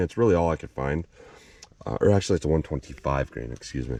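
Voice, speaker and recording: A man talks at a very fast pace with lively intonation. His tone is dark and mellow. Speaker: firearms reviewer. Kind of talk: tutorial.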